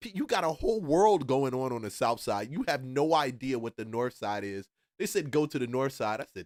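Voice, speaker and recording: A medium-pitched man at a fairly quick pace with very wide pitch swings, in a dry, close sound with no echo and a very clean recording over a silent background. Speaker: reaction video host. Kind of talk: reaction commentary. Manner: fast; loud.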